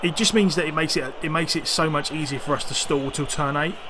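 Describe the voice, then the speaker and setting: The voice moves at a fairly quick pace over noticeable background noise. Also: man. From East London. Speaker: video game streamer. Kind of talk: live gameplay commentary. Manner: casual, hesitant with fillers.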